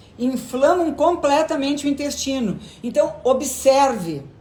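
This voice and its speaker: Her voice is high-pitched with a dark, mellow tone, and the woman speaks at a very slow pace. Room echo is audible. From southern Brazil (Rio Grande do Sul). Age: 60s. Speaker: gynecologist. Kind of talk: live stream Q&A. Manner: conversational.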